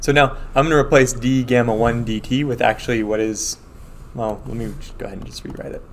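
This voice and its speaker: In a room with audible echo, a man of medium pitch talks at a fairly quick pace, his intonation fairly even and his loudness swinging widely. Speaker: math professor. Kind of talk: lecture. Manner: fast.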